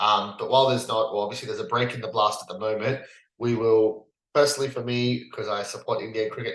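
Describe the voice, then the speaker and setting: A man with an Australian accent. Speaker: cricket podcast host. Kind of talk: casual chat. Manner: hesitant, many fillers.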